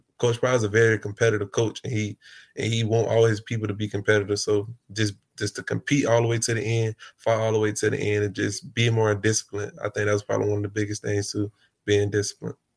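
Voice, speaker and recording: On a very clean recording with a silent background and a dry, close sound with no echo, a somewhat breathy man talks at a very fast pace in monotone, flat intonation. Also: fairly low pitch for a man. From US South, Jacksonville, Florida. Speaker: college football player. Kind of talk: interview.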